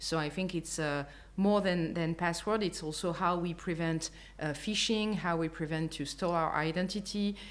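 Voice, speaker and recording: In a French accent, a woman speaks at a moderate pace. Her voice is fairly low, with fairly even intonation. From France. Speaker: customer experience executive. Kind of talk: interview. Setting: apartment in Lisbon. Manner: hesitant, many fillers.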